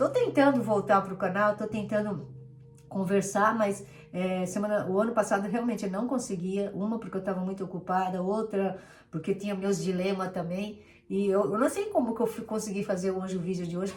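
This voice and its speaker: Over light background noise, a woman does a hoarse, put-on character voice at medium pitch and a fairly quick pace. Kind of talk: casual, conversational vlogger.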